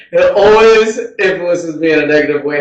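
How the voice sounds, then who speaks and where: High-pitched man with lively intonation, audible room echo. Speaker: podcast host. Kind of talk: casual monologue. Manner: halting.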